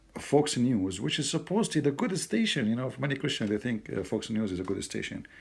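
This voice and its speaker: With an Arabic accent, a man talks at a medium pitch with lively intonation. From Middle East. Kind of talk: casual commentary to camera.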